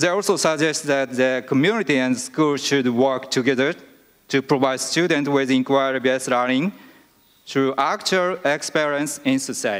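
A man with a Japanese accent, fairly high-pitched, at a moderate pace, with ordinary pitch variation, very even loudness and a quiet background. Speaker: vice principal; presenter. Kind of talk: conference presentation. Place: hall. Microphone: podium.

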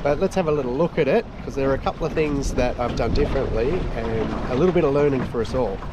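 A man speaks with ordinary pitch variation. The sound is dry with no echo, though background noise is noticeable. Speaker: sailing vlogger. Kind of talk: casual vlog chat. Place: boat. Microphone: phone near.

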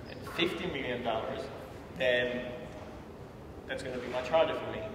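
A man speaks at a moderate pace with ordinary pitch variation and big swings in loudness, amid audible room echo and noticeable background noise. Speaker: interviewee. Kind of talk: interview answer. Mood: relaxed, conversational. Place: office.

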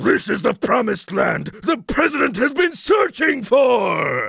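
Putting on a character voice, a man talks at a fairly slow pace with an extremely high pitch.

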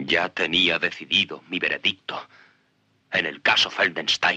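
The voice belongs to a man. His recording sounds dry and close, without any echo. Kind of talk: performed courtroom monologue from a film, dubbed Spanish, solemn and confessional. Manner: grave, measured and impassioned, building to bitter self-accusation.

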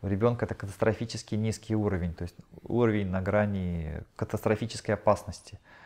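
Over a quiet background, a man speaks at a fairly low pitch with fairly even intonation. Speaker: channeling medium relaying answers to audience. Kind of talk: live channeling session at seminar; spiritual session talk, relaying answers. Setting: seminar hall with live audience. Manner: halting. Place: home room.

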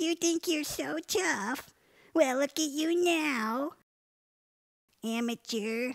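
Using a cartoonish character voice, a woman speaks very slowly in a high pitch with lively intonation and long, frequent pauses, the sound dry and close with no echo. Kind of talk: comic overacting. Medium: puppet show. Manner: feisty, tough, wisecracking.

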